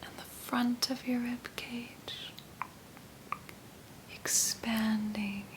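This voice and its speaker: A calm, whispering voice at a very slow pace, with long, frequent pauses. Noticeable background noise sits behind it. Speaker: ASMR artist. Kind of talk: guided meditation. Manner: slow, calm.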